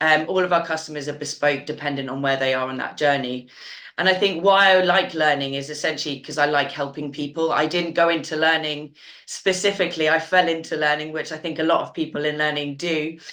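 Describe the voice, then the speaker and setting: A woman with a British accent speaks at a fairly quick pace in a very deep, low pitch, her tone bright and sharp and her intonation fairly even. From UK. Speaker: learning consultant. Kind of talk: webinar panel discussion.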